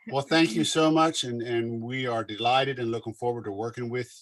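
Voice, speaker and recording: A man's medium-pitched voice with a Southern accent, at a fairly quick pace, dry and close with no echo. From Pennsylvania Dutch country, Berks County area. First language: Pennsylvania Dutch. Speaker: business representative. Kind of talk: committee meeting.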